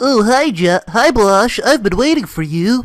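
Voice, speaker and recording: A man in a put-on character voice, with faint music in the background. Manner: eager, academic.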